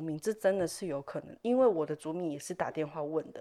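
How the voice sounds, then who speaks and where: At a very fast pace, a woman with a fairly low pitch talks with lively intonation. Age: young. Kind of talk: casual interview chat.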